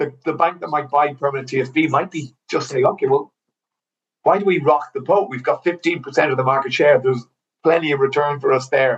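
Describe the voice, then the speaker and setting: With an Irish accent, the somewhat breathy voice moves at a fairly quick pace with fairly even intonation. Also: man, fairly high pitch for a man. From Ireland. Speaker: mortgage broker. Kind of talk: casual chat. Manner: halting, many fillers and repeats.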